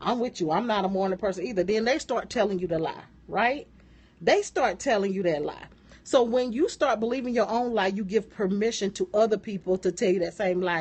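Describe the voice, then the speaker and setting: A woman's animated voice, medium in pitch, fairly quick, with ordinary pitch variation. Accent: American. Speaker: motivational business coach. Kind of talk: live-stream motivational talk. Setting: live stream.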